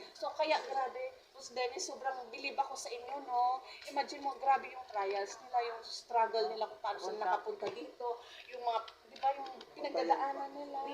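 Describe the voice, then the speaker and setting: A woman speaks at a fairly quick pace in a high pitch, with ordinary pitch variation. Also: big swings in loudness. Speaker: network marketing member. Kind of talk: testimony. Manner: animated.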